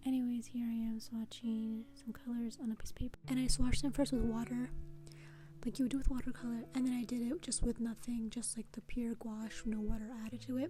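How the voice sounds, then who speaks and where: A fairly quick voice with an American accent over noticeable background noise. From Connecticut, USA. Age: 20s. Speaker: beginner painter. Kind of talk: casual product review to camera. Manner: casual, hesitant, many fillers.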